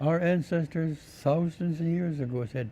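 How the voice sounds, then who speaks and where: A man speaks with a dark, mellow tone that is somewhat breathy. His pitch varies in an ordinary way. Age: 80s+. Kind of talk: interview.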